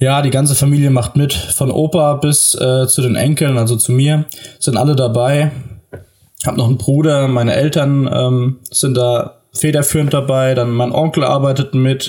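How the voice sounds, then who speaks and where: Fairly high in pitch, a man speaks at a moderate pace. His intonation is monotone and flat. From southern Hesse, Germany. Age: 20s. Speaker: farmer's son and agriculture student. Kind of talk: podcast interview. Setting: remote call from home office. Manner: frequent fillers (äh, ähm).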